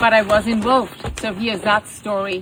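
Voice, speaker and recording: A woman with a German accent talks over noticeable background noise. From Germany. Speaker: horse rescue owner. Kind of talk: personal video statement. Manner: animated.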